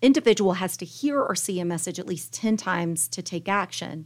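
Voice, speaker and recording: An unremarkable speaking voice with an American accent talks at a moderate pace on a very clean recording with a silent background. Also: woman. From Tallahassee, Florida. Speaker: marketing agency executive, business chamber chair. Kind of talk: interview.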